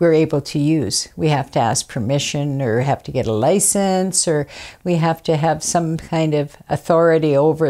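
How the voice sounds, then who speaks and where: A dark, mellow tone with ordinary pitch variation moves at a moderate pace on a very clean recording with a silent background. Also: woman. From Fort Rupert, British Columbia, Canada. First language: Kwak'wala. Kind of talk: interview testimony. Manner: halting, many fillers.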